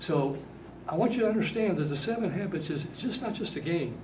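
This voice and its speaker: Lively in intonation and fairly quick, a man speaks amid noticeable background noise and audible room echo. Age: 80s+. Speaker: workshop speaker to youth. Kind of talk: talk to young audience. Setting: seated at front of workshop room.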